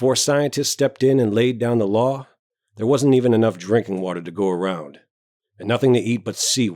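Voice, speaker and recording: In a very clean recording with a silent background, a booming, put-on character voice is heard. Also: man. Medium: read story. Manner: hearty, self-important.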